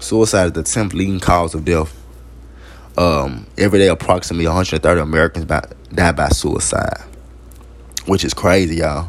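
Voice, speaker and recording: With noticeable background noise, a man speaks at a moderate pace in a very deep, low voice, showing ordinary pitch variation and taking long, frequent pauses. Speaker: podcast host. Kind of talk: informal solo talk. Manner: halting.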